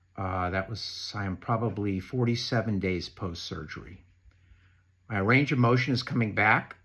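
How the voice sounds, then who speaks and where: A man's fairly low-pitched, ordinary speaking voice at a moderate pace, with ordinary pitch variation, on a very clean recording with a silent background. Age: 60s. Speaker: knee replacement patient sharing advice. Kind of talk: prepared talk read from notes.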